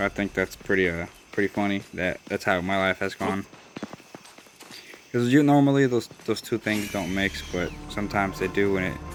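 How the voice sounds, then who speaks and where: With music in the background, a man with a Southern US accent speaks at a moderate pace in a fairly low pitch with ordinary variation and long, frequent pauses. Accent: southern twang. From Des Moines, Iowa. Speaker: gaming YouTuber. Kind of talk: gameplay voice-over commentary. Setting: recorded voice-over away from home. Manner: casual, hesitant with fillers.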